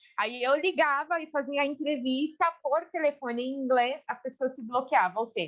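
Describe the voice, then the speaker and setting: A high-pitched woman with a Brazilian accent talks at a moderate pace with hardly any pauses, ordinary pitch variation and big swings in loudness. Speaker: human resources specialist. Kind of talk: casual interview chat.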